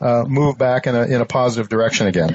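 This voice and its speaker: Amid noticeable background noise, a man with an American accent talks at medium pitch and a moderate pace with fairly even intonation. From US Midwest, Ohio. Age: 70s. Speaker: podcast host. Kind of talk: interview. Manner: halting, many fillers.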